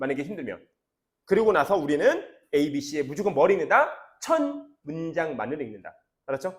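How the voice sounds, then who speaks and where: Lively intonation and long, frequent pauses shape a man's fairly high-pitched speech at a moderate pace. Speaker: English academy teacher. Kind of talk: lecture.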